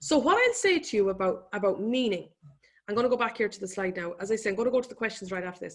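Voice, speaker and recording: With an Irish accent, a woman talks at a very fast pace. Her fairly high pitch carries lively intonation. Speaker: economist and business speaker. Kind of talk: webinar presentation. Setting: online webinar.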